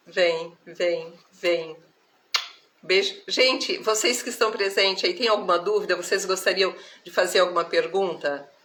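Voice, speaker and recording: Fairly slow female speech, medium in pitch, its pitch varying in an ordinary way. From Brazil, countryside (interior). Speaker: spiritual therapist. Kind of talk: live stream spiritual talk. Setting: live stream. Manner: warm, affectionate.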